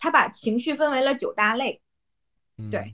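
A woman speaks at a moderate pace with a high pitch and lively intonation. The recording is very clean, with a silent background. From Yanbian, Jilin, Northeast China. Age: young. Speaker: Chinese teacher. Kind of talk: casual chat.

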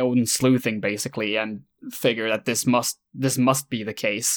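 A man talks in a Swedish accent at medium pitch and a fairly slow pace. The recording is very clean, with a silent background. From Sweden. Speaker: YouTuber, video essayist. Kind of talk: casual chat. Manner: halting.

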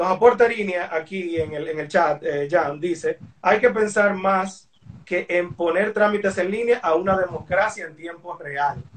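Pitch variation is ordinary and the pace fairly slow. Noticeable background noise runs underneath. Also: man, high pitch for a man. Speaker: podcast interviewer. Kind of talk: interview. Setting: Instagram Live video call. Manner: animated.

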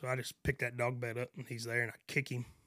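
A West Texas accent in a very clean recording with a silent background, the sound dry and close with no echo. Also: man. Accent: West Texas drawl. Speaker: rancher. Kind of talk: casual chat.

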